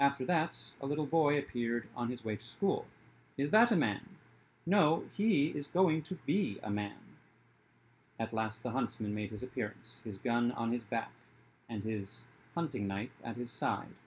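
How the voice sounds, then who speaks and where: A man at a moderate pace, lively in intonation, with long, frequent pauses. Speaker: video creator reading a story aloud. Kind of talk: fairy tale narration, reading aloud. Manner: storyteller's cadence, shifting tone for each character. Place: home room. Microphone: webcam.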